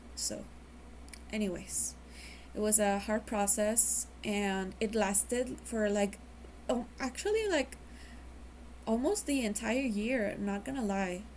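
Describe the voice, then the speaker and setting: A woman talks at a very slow pace with a Mexican accent. She leaves long, frequent pauses. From Mexico. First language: Spanish. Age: 20s. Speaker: vlogger. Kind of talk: personal testimony. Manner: halting.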